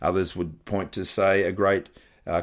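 A man speaks at a moderate pace with an Australian accent. The recording is very clean, with a silent background. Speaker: pastor. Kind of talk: sermon.

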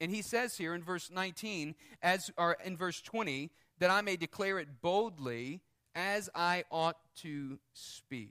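High in pitch and bright, sharp in tone, a man speaks at a fairly slow pace. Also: ordinary pitch variation, dry, close sound with no echo, very clean recording, silent background. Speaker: preacher. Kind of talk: sermon; fervent prayer. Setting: church. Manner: earnest, pleading, heartfelt.

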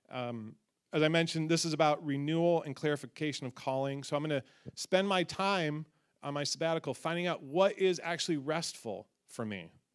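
Speaking at a fairly quick pace with ordinary pitch variation, a man uses an ordinary speaking voice pitched fairly high. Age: 40s. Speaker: pastor. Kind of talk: church announcement. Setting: church.

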